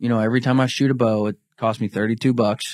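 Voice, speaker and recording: A man with an unremarkable speaking voice, medium pitch, fairly even intonation and a fairly quick pace, in a very clean recording with a silent background. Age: 20s. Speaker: bowhunting organization representative. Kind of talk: casual chat.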